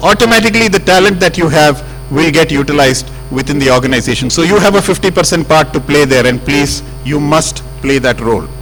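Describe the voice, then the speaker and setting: A man at a very fast pace, fairly high in pitch, with lively intonation and very even loudness over noticeable background noise. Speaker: senior telecom executive addressing engineers. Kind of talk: speech to staff.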